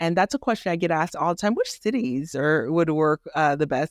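A woman talks at a fairly quick pace with an animated tone and a very deep, low pitch. The sound is dry and close, with no echo. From Haiti, raised in inner-city Miami. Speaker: doctor and rental property owner. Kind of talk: interview.

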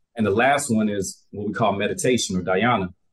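A man with an American accent talks at a fairly quick pace in a fairly low pitch, an unremarkable speaking voice. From US South, Albany, Georgia. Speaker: wellness coach and yoga instructor. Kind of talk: casual interview chat.

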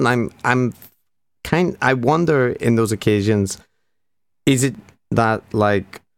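A man talks at a fairly slow pace with a medium pitch. The recording is very clean, the background silent. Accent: Northern Irish. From Northern Ireland. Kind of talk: casual interview chat.

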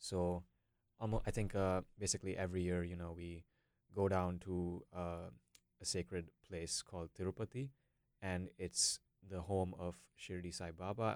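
Pausing long and often, a man with a very deep, low voice speaks at a moderate pace with fairly even intonation. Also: dry, close sound with no echo, very clean recording, silent background. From India, Bangalore. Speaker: university student. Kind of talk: casual discussion.

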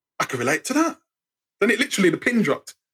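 Speaking with an English accent, a man sounds animated, his pitch swinging very widely in a dry, close recording with no echo. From England, Birmingham. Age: 50s. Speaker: writer and storyteller. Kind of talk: casual chat.

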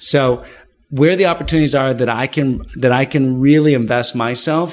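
A man's normal speaking voice in a Canadian accent, medium in pitch, at a moderate pace. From Ottawa, Canada. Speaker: business executive. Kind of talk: interview. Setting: office building.

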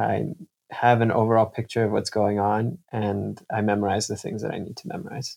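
A man with an American accent and an unremarkable speaking voice talks at a fairly quick pace, his fairly low pitch showing ordinary variation. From Kansas City, US Midwest. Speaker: medical student. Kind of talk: interview.

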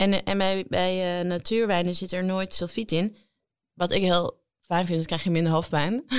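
A woman speaks at medium pitch and a moderate pace, with fairly even intonation and very even loudness. It is an unremarkable speaking voice. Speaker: cookbook author and actress. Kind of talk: casual chat.

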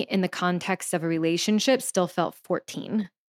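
A woman with an American accent speaks in a normal speaking voice at a fairly quick pace, her fairly low pitch moving with ordinary variation, on a very clean recording with a silent background. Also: dry, close sound with no echo. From US South, Louisiana. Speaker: sex and relationships coach. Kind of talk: interview.

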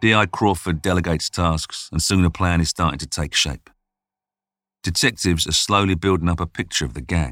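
On a very clean recording with a silent background and a dry, close sound with no echo, a man delivers a dramatic tone at a very deep, low pitch with vocal fry, ordinary pitch variation and a fairly quick pace. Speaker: narrator. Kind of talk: true-crime narration. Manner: suspenseful, hushed storytelling; measured, dramatic pacing.

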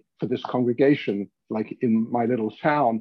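Talking at a fairly quick pace, a man speaks with ordinary pitch variation. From London, England. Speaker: rabbi. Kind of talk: interview conversation.

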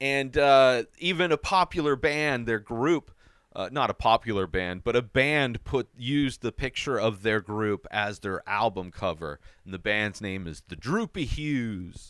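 This man has an ordinary speaking voice at a medium pitch, with lively intonation. The sound is dry and close, with no echo. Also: fairly slow pace, very clean recording, silent background. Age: 40s. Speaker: TV recap podcaster. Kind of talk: casual monologue recap.

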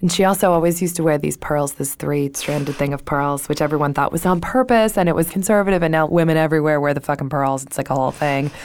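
A woman's very deep, low voice at a very fast pace, with hardly any pauses and ordinary pitch variation. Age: 30s. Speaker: podcast co-host. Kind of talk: casual chat.

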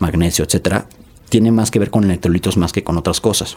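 A man speaks with ordinary pitch variation. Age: 40s. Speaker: nutrition expert and entrepreneur. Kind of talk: casual interview.

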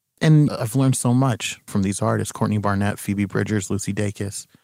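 A man with an ordinary speaking voice talks at a fairly low pitch and a moderate pace. His intonation stays fairly even. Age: 30s. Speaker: musician. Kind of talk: casual chat. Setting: remote call from a closet at home.

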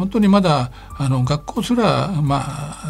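Over noticeable background noise, a man talks with a fairly high pitch and lively intonation. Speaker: NGO chairman. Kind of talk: radio interview. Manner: hesitant, many fillers; polite formal.

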